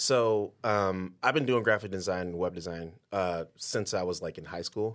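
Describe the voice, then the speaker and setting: A man with an American accent speaks at a fairly low pitch with ordinary pitch variation in an ordinary speaking voice. The recording is very clean, with a silent background. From Detroit. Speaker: podcast host. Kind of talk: casual interview.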